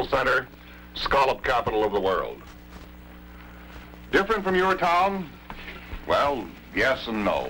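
A man with an American accent, fairly slow, with long, frequent pauses and light background noise. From United States. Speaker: television news anchor narrating a documentary. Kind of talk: documentary film narration. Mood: calm, authoritative.

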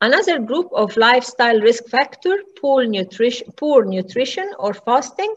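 Her voice is high and swings very widely in pitch. This woman keeps a moderate pace. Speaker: medical lecturer. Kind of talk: lecture. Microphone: webcam.

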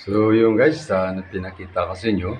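A man's voice with fairly even intonation. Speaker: vlogger and street food vendor. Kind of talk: casual vlog house tour. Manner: halting, frequent fillers.

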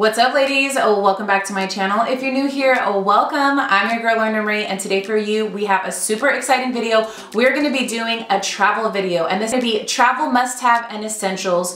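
Delivered at a fairly quick pace with ordinary pitch variation, the speech carries audible room echo and light background noise. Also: woman. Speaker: lifestyle vlogger. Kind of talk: casual vlog chat. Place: home room.

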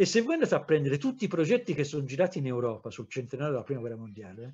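A man talks at a very fast pace, his pitch swinging very widely. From Tuscany, Livorno; Tuscany. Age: 60s. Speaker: historian; historian lecturer. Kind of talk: lecture. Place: home room. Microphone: webcam.

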